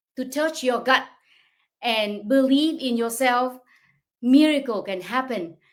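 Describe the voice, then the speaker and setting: At a fairly slow pace, a woman speaks in a high pitch with a Vietnamese accent. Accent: non-native English, Vietnamese. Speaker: online business coach. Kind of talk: livestream talk. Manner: halting.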